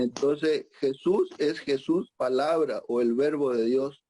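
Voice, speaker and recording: A man speaks with an Argentine accent at a fairly high pitch. His tone is dark and mellow. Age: 60s. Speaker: psychiatrist. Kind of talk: conference talk. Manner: halting, many fillers.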